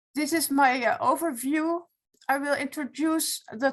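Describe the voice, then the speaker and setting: Speaking with a Dutch accent, a woman has a high voice. Her pitch varies in an ordinary way. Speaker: retired law professor, foundation president. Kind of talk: webinar presentation. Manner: halting.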